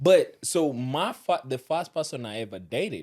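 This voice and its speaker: In a very clean recording with a silent background, a man speaks at a moderate pace and medium pitch. His pitch swings very widely, and he has a strong African accent. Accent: thick African. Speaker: podcast guest. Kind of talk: casual chat.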